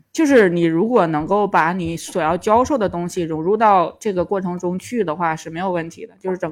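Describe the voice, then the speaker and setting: Delivered in a Tangshan accent, the speech moves at a fairly quick pace with ordinary pitch variation. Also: woman. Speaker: stand-up comedian and former private tutor. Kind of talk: casual chat.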